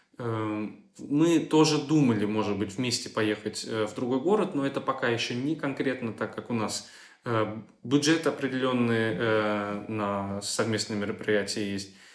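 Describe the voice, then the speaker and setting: The man talks fairly slowly. Behind him, background noise is noticeable. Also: medium pitch for a man, ordinary pitch variation. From Germany. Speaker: volunteer project coordinator. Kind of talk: interview. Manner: hesitant, frequent fillers.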